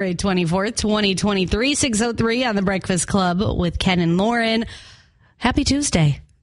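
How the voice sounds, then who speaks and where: A woman with an unremarkable speaking voice talks at a fairly slow pace and medium pitch. Her pitch varies in an ordinary way, and her loudness stays very even. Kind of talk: radio DJ patter, bright morning-show banter with promos, weather and tease-ahead plugs.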